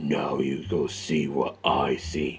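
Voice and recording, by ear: A growling, put-on character voice from a man, very deep and low, with light background noise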